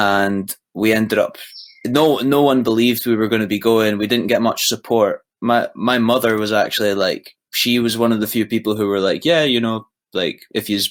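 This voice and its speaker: A man at a medium pitch with a Scottish accent, a moderate pace and fairly even intonation. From east coast of Scotland. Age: young. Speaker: musician. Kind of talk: casual chat.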